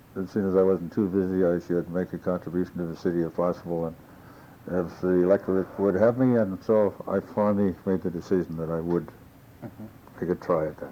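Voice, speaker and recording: A man with a Canadian Prairie accent talks fairly quickly in a very deep, low pitch, his intonation fairly even. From Saskatchewan, Canada. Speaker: former mayor. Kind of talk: oral history interview answer.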